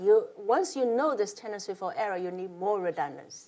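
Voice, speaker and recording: Here a woman speaks with a non-native accent at a fairly quick pace. Her pitch swings very widely. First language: not English. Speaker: professor. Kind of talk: lecture. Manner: halting.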